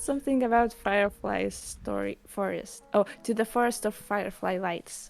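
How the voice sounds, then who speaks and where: Music plays in the background as a woman talks at a moderate pace with hardly any pauses. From Lithuania. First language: Lithuanian. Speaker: streamer. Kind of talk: casual interview chat.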